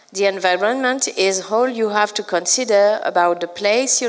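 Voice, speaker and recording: Noticeable background noise sits behind a woman speaking at a moderate pace in a French accent. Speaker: librarian trainer and consultant. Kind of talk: conference talk. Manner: halting, many fillers.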